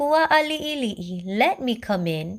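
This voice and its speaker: A female-sounding voice performs a put-on character voice. It sits at a high pitch and swings very widely. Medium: read story. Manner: loud, blustering.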